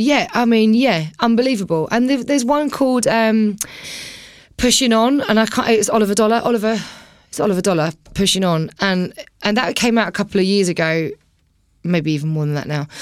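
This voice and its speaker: A woman with an Essex accent, fairly high-pitched, with lively intonation and a fairly quick pace, on a very clean recording with a silent background. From Essex, England (Romford, Billericay). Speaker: DJ. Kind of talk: casual chat. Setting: studio.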